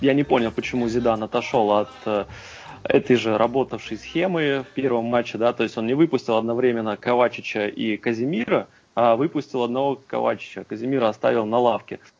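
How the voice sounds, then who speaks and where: Delivered at a fairly quick pace, this is a plain, everyday voice with fairly even intonation. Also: man, medium pitch for a man. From Russia, Kursk. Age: 20s. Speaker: football fan, amateur team captain. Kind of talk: casual chat.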